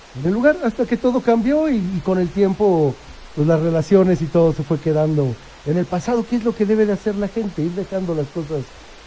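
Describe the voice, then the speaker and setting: Noticeable background noise sits behind a man with a high pitch. His intonation is lively and his pace moderate. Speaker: photographer and agency director. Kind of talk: radio interview.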